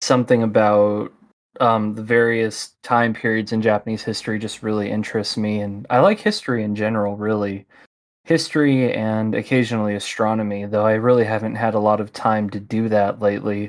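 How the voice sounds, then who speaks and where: The speech comes in a Midwestern American accent at a fairly quick pace, with monotone, flat intonation. The recording is very clean, with a silent background. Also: man. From US Midwest. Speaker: podcast host. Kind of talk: casual interview.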